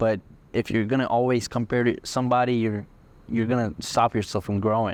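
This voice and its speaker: A man's medium-pitched, monotone, flat voice at a fairly quick pace, with very even loudness. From India, moved to Texas at eleven. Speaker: entrepreneur, car rental business owner. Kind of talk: podcast interview.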